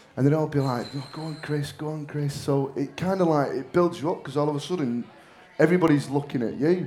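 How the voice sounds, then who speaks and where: In a Mancunian accent, a man speaks very fast at a fairly high pitch, his dark, mellow tone carrying fairly even intonation through audible room echo. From northern England, Manchester. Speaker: actor. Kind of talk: on-stage interview. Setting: stage with audience. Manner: loud.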